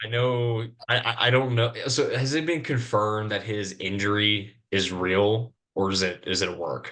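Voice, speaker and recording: Against a quiet background, a man with a fairly low pitch and a bright, sharp tone speaks at a moderate pace with ordinary pitch variation. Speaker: wrestling podcast co-host. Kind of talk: casual chat. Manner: halting, stuttering.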